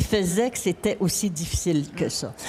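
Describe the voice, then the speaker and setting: This woman speaks. Her pitch varies in an ordinary way. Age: 70s. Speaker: author. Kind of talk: panel discussion. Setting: stage at a book fair.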